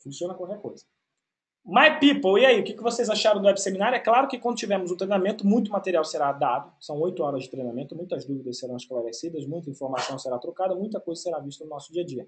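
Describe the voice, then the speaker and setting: With a high pitch, very wide pitch swings and big swings in loudness, a man talks at a very fast pace. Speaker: IT course instructor. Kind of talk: webinar Q&A. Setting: online webinar broadcast.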